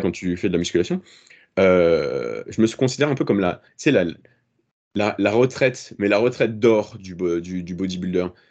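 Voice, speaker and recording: A man's fairly low voice with lively intonation. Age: 30s. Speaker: fitness content creator. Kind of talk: casual chat. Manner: halting, many repetitions.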